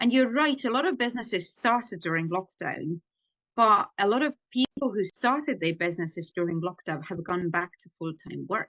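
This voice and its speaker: A woman with an Estonian accent speaks at medium pitch with lively intonation. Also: moderate pace. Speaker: ghostwriter and author. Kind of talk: podcast interview answer.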